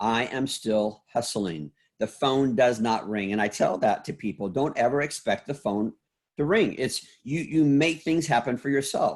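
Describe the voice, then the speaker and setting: A man with an unremarkable speaking voice talks at a medium pitch and a moderate pace, with lively intonation. The recording is very clean, with a silent background. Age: 60s. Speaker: salon school founder and motivational speaker. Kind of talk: podcast interview.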